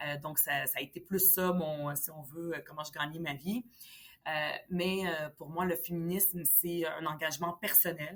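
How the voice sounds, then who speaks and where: A woman speaks at a fairly low pitch and a fairly slow pace. Her intonation stays fairly even. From Lebanon, then Montreal from age 10. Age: 40s. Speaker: politician. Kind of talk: interview. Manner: hesitant, many fillers.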